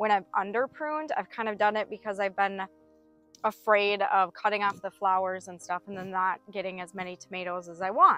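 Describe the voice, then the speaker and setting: A woman speaks while music plays faintly behind her. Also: dry sound with no echo. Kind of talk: tutorial. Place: garden.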